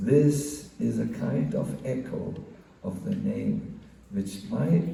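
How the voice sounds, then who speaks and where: Over audible room echo, a man speaks at a very slow pace. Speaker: monk giving a spiritual class. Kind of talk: religious lecture. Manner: halting, many fillers.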